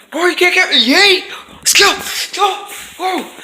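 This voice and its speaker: A man does a put-on character voice at an extremely high pitch, speaking at a moderate pace. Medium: comedy sketch. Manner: taunting, playful.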